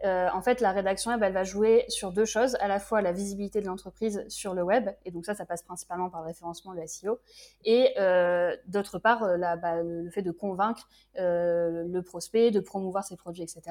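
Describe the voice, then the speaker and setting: In a very clean recording with a silent background, a woman speaks at a moderate pace and medium pitch with fairly even intonation. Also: big swings in loudness. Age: 20s. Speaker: freelance web writer. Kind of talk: casual interview. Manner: hesitant, many filler sounds.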